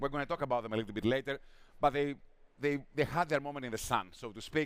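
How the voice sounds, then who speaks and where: Fairly even intonation with a Greek accent. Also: man. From Greece. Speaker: drinks industry analyst. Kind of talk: conference talk. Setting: stage with audience.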